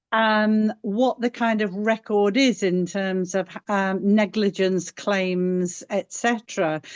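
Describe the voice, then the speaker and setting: A woman at a very slow pace with medium pitch, fairly even intonation, very even loudness and hardly any pauses, dry and close with no echo against a quiet background. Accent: English. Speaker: paddling club member. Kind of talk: webinar Q&A.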